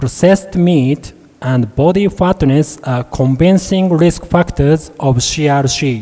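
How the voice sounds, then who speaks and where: A man speaks very slowly in a fairly high voice with a dark, mellow tone. His pitch varies in an ordinary way. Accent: Japanese. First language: Japanese. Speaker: medical researcher, professor. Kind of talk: conference presentation. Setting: conference hall. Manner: formal.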